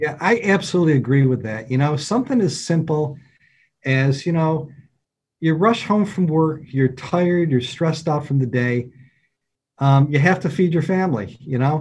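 At a moderate pace, a man speaks fairly high with ordinary pitch variation. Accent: upstate New York. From upstate New York, near Syracuse. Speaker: deacon. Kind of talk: casual interview.

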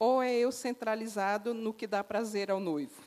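Fairly high in pitch, a woman has an unremarkable speaking voice with ordinary pitch variation. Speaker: preacher. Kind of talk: sermon.

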